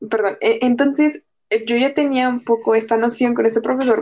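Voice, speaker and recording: Speaking at a moderate pace, the woman holds a high pitch. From Mexico. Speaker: university student, podcast co-host. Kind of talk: casual chat.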